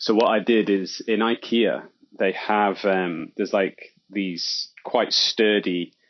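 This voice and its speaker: Here is a man with an English accent. He talks at a very slow pace. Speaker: hobby podcaster. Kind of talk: casual chat.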